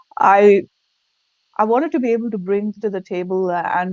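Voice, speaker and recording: This woman has a non-native accent. She talks at a moderate speed. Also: dry, close sound with no echo. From India. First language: not English. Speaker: leadership consultant. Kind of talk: interview. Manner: halting.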